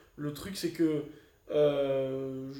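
A man is speaking. Room echo can be heard. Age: 20s. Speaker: amateur Olympic boxer. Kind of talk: casual interview. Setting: training camp in the Canary Islands.

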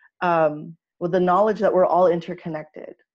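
Speaking in a plain, everyday voice, a woman with an American accent has a medium pitch and fairly even intonation. Her pace is moderate, and the background is quiet. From Los Angeles, Filipino heritage. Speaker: spiritual healer. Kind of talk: casual interview.

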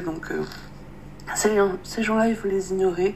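A woman speaks at a fairly slow pace with fairly even intonation. Noticeable background noise is present. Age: 20s. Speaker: interviewee. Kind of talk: testimony. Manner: halting.

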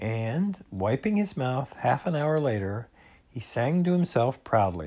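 Natural-voiced reading aloud

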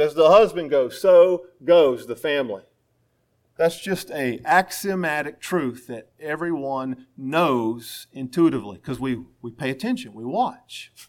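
On a very clean recording with a silent background, a man with an American accent speaks fairly slowly, with very wide pitch swings and big swings in loudness. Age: 40s. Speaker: pastor. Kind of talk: sermon.

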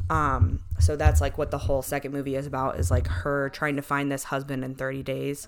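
Over noticeable background noise, a woman with a very deep, low pitch speaks at a moderate pace with lively intonation. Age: 20s. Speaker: podcast co-host. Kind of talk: casual chat.

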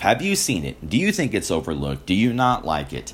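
A man talks at a moderate pace with vocal fry. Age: 20s. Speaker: film review podcast host. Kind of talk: solo movie review. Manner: casual with frequent fillers.

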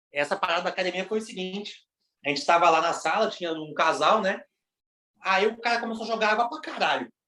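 A man with a high pitch speaks in a raised, projected voice at a very fast pace. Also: ordinary pitch variation. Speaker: podcast co-host. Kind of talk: casual chat.

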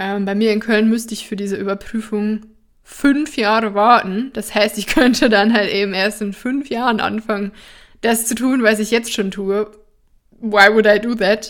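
A woman with an ordinary speaking voice talks at a moderate pace and a fairly high pitch, her intonation fairly even, in a very clean recording with a silent background. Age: 20s. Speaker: somatic therapist and podcast host. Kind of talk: personal storytelling monologue. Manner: casual, with frequent fillers and laughter.

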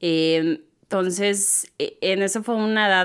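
A woman with a plain, everyday voice speaks at a medium pitch with ordinary pitch variation in a very clean recording with a silent background. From Mexico, Tehuacán, Puebla. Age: 30s. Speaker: digital marketing entrepreneur. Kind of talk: casual interview chat. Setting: church building.

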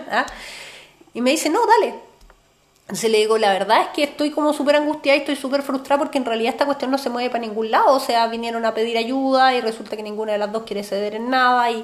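Amid noticeable background noise, a woman with a high pitch talks at a very fast pace. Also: ordinary pitch variation. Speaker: podcast co-host, therapist. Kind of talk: casual chat.

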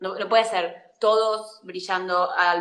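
In an Argentine accent, a woman speaks at a medium pitch with monotone, flat intonation. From Argentina, La Pampa. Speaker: actress and acting teacher. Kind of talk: casual interview.

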